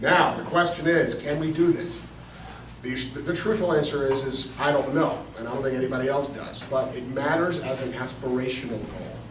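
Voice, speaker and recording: Against noticeable background noise and audible room echo, a man with a fairly high pitch talks at a moderate pace with ordinary pitch variation. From Germany. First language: German. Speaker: city council candidate. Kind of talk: candidate forum answer.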